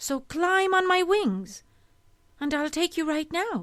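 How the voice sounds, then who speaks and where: A woman's squeaky put-on character voice, extremely high, raised and projected, with lively intonation at a fairly slow pace. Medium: read story.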